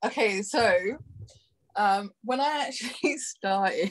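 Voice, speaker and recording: Lively intonation runs through a woman's speech, delivered in a London accent. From London, UK (born in Brazil). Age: 30s. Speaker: adult performer, guest. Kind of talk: casual interview chat. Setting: podcast.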